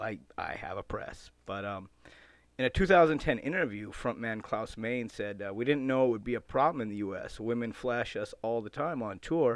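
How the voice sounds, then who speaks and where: A man at a medium pitch with ordinary pitch variation and a moderate pace, an ordinary speaking voice, on a very clean recording with a silent background. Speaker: radio host. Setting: radio show studio. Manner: laid-back, wisecracking, casual and chatty, jokey with tongue-in-cheek rock-fan banter.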